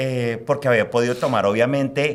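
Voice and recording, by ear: A man at medium pitch, fairly quick in pace, with ordinary pitch variation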